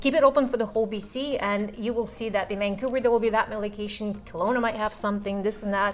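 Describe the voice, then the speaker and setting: Speaking at a very fast pace with hardly any pauses, a woman keeps a fairly high pitch and fairly even intonation. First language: not English. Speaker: real estate course instructor. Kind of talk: instructional talk. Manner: conversational.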